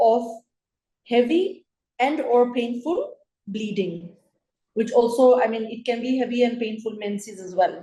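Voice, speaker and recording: A woman speaks with a high pitch and a dark, mellow tone at a fairly slow pace. Her loudness swings widely, long pauses come often, and room echo is audible. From Kenya. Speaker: gynecologist. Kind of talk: lecture.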